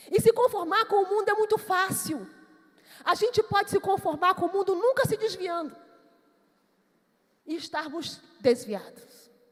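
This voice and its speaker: Extremely high in pitch, a woman with a Manaus accent speaks at a moderate pace with lively intonation and long, frequent pauses. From Brazil, Amazonas (Manaus). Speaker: pastor. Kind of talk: sermon.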